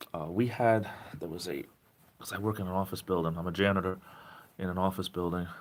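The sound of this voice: A man with a southeastern New England accent speaks at a fairly quick pace in a low pitch. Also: fairly even intonation.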